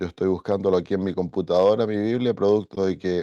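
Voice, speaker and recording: Dry and close with no echo, a man's very deep, low voice carries a dark, mellow tone and fairly even intonation. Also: quiet background. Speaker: pastor. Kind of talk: bible study lecture.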